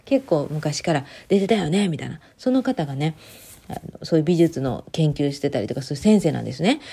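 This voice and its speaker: Somewhat breathy with a dark, mellow tone, a woman speaks at a fairly quick pace with very wide pitch swings. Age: 30s. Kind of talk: casual solo monologue. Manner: casual, rambling with fillers.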